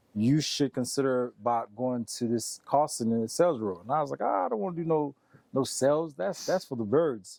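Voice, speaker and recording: A man with a dark, mellow tone and medium pitch talks at a fairly quick pace with lively intonation, on a very clean recording with a silent background. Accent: Haitian. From Haiti, raised in US from age seven. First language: Haitian Creole. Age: 30s. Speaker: sales expert. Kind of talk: interview. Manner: casual, many fillers.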